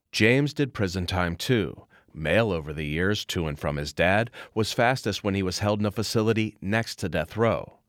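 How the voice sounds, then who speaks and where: Over a silent background in a very clean recording, a man uses an ordinary speaking voice with a fairly low pitch. His intonation is lively and his pace moderate. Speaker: radio reporter.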